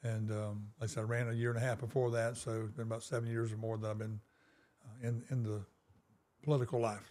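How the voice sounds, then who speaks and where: A man's medium-pitched, dark, mellow voice at a very fast pace, in monotone, flat intonation. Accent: South Carolina. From US South, South Carolina (Darlington). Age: 60s. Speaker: small-town mayor. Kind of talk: interview. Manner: hesitant, many fillers.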